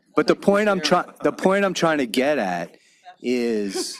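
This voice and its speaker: A man with a Long Island accent, fairly slow-paced, with lively intonation. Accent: Long Island New York. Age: 60s. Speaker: county legislator. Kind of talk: public hearing questioning. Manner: halting, repetitive.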